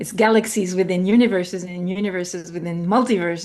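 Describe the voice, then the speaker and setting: A woman with a French accent talks at a fairly quick pace, her fairly low pitch showing ordinary variation. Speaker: spiritual guest, artist and anthropologist. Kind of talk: interview. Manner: halting, searching for words.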